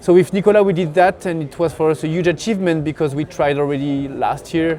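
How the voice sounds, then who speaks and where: A man speaks with a French accent at a moderate pace and a fairly high pitch. His intonation stays fairly even, and there is noticeable background noise. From France. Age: 30s. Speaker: pro alpinist and mountain guide. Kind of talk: interview. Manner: halting.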